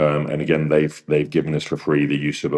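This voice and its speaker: This man talks at a fairly quick pace in a very deep, low voice laced with vocal fry. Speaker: opera singer and vocal mentor. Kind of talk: interview. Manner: fast.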